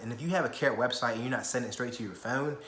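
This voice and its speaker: A man speaks in an animated tone, with audible room echo and noticeable background noise behind him. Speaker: real estate investor and vlogger. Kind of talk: casual vlog talk. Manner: fast.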